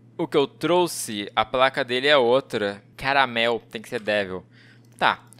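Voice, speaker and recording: A man with a Brazilian accent talks at a fairly slow pace in a bright, sharp tone. His loudness swings widely while his pitch varies in an ordinary way. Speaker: gaming youtuber. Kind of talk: gameplay commentary. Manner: animated. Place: home room. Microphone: headset.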